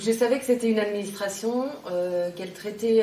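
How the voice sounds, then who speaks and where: A woman with fairly even intonation, audible room echo and noticeable background noise. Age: 40s. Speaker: tax office phone-line assistant. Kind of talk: interview testimony.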